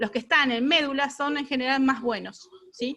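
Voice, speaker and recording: A woman's high-pitched voice comes out raised and projected, with a bright, sharp tone. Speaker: radiation oncologist lecturer. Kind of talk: lecture. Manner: fast.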